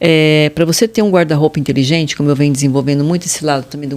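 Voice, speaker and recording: Pitch varies in an ordinary way as the words come out very fast. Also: woman. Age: 60s. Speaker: fashion consultant. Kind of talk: interview.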